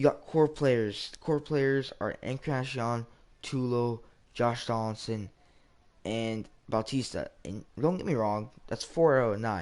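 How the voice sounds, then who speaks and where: A man at a very slow pace, medium in pitch, with ordinary pitch variation. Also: quiet background. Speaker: gaming live streamer. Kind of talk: casual gameplay live stream chat. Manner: stuttering, rambling.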